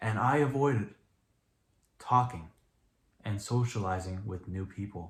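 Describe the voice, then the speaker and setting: A man speaks somewhat breathily at a fairly slow pace. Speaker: YouTuber. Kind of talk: vlog monologue to camera. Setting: talking in front of camera.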